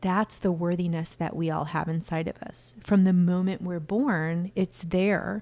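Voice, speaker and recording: A woman talks at a fairly slow pace with fairly even intonation and a fairly low pitch. She has an ordinary speaking voice. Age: 40s. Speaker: inner voice coach and speaker. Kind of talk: casual interview conversation.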